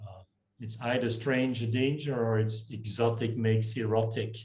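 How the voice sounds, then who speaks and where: With a Dutch accent, a man speaks at medium pitch and a fairly slow pace, his intonation fairly even, with audible room echo and music in the background. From northern Belgium (Flemish). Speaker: communications professor. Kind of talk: casual interview chat.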